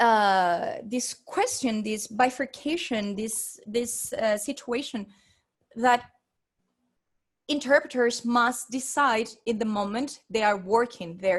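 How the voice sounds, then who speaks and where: A woman's fairly high voice at a very slow pace, broken by long, frequent pauses. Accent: Spanish. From Venezuela. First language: Spanish. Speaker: interpreter and researcher. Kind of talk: academic presentation. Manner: halting, many fillers and repetitions.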